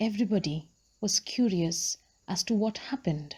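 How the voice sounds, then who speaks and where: A woman's voice sits at a medium pitch with ordinary pitch variation, a dark, mellow tone, and a somewhat breathy quality. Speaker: book vlogger / audiobook storyteller. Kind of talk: storytelling reading of a book, narrated.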